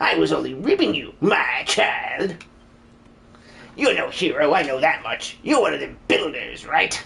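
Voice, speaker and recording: Speaking at a moderate pace, a man puts on a character voice. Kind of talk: live-stream game dub.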